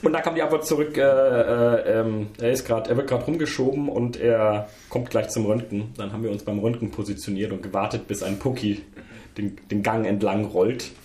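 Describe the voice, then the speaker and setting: With noticeable background noise and audible room echo, a man speaks at a moderate pace in a medium pitch with ordinary pitch variation. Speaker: games podcast co-host. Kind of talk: casual chat. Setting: gamescom recording, noisy chair.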